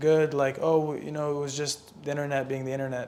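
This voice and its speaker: A man talks quickly with a fairly high pitch. His intonation is monotone and flat. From Lebanon. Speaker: singer and entrepreneur. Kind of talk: podcast interview. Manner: casual, filler-heavy.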